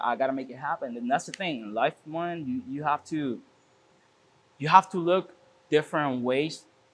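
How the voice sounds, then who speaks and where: With a Spanish accent, a man talks at a moderate pace in a fairly high pitch, his intonation lively and his loudness swinging widely. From Puerto Rico. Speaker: car shop owner. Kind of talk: casual interview. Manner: halting with frequent repetitions.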